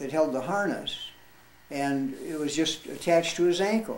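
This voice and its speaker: With lively intonation and a fairly high pitch, a man speaks at a moderate pace amid audible room echo. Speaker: war veteran. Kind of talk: storytelling. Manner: halting.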